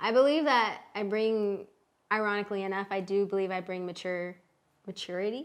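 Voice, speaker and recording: A woman speaks fairly quickly at a medium pitch, which varies in an ordinary way. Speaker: content creator and business partner. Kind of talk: casual chat. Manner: hesitant, uses fillers.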